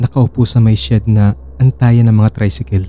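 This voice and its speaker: Somewhat breathy and dark, mellow in tone, a man's medium-pitched voice moves at a moderate pace with lively intonation. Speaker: horror story narrator. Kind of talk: horror story narration, first-person scripted storytelling.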